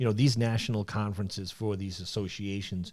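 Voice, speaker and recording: A man with a New York accent, fairly low in pitch and dark, mellow in tone, at a fairly quick pace with ordinary pitch variation, in a very clean recording with a silent background. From New York City (Brooklyn and Queens). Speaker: sales manager and trade association president. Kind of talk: podcast interview. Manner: casual, many fillers and repetitions.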